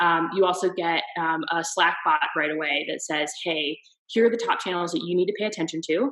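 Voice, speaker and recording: The speaker uses a plain, everyday voice. The pace is moderate and the pitch varies in an ordinary way. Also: woman, fairly low pitch for a woman. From US East Coast. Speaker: marketer. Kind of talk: interview answer.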